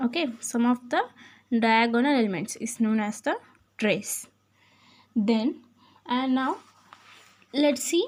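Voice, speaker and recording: A high-pitched woman's voice with ordinary pitch variation, at a fairly slow pace with long, frequent pauses. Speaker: maths teacher. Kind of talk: lecture.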